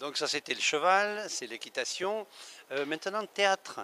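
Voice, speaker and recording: A man with a high pitch and a bright, sharp tone talks at a fairly slow pace. The sound is dry and close with no echo, on a very clean recording with a silent background. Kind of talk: interviewer at a trade fair.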